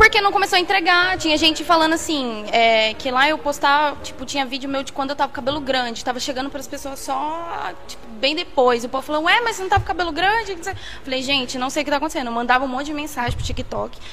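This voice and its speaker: Against noticeable background noise, a woman with a high pitch talks at a very fast pace in a raised, projected voice, with lively intonation, big swings in loudness and hardly any pauses. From São Paulo state interior, Brazil (Jaguariúna/Holambra). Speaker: podcast guest. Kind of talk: casual chat.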